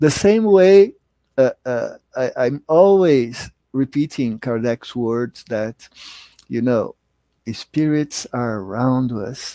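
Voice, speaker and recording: This man speaks with a Portuguese accent in a dark, mellow tone at a medium pitch. His pace is very slow and his intonation lively, in a dry, close sound with no echo. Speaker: spiritist lecturer. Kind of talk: lecture. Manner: halting, many fillers and repetitions.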